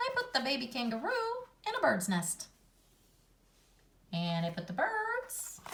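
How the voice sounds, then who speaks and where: A put-on character voice, female-sounding and high-pitched, with a cheerful tone, a moderate pace and long, frequent pauses. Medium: read story. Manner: cheerful, giggly.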